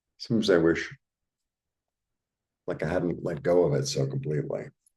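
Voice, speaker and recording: In an American accent, this voice has a dark, mellow tone with vocal fry and very wide pitch swings. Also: man, very deep, low pitch for a man. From New York, Brooklyn. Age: 60s. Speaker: tarot reader. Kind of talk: casual tarot reading monologue. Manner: casual, conversational with filler words.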